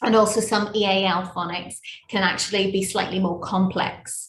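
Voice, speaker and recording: Somewhat breathy, a woman's voice rests at a medium pitch. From Northern Ireland. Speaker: primary school teacher. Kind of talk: parent workshop presentation.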